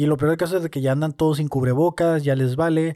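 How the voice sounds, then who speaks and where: A man with a dark, mellow tone speaks at a fairly quick pace with fairly even intonation. The recording is very clean, with a silent background and a dry, close sound with no echo. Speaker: podcast host and stand-up comedian. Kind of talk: casual solo monologue. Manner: hesitant, many fillers.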